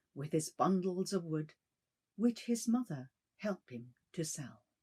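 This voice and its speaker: A woman at a medium pitch speaks at a moderate pace with lively intonation and a dark, mellow, somewhat breathy tone, the sound dry and close with no echo. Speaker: bilingual announcer. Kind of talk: ghost story reading. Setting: shamisen accompaniment.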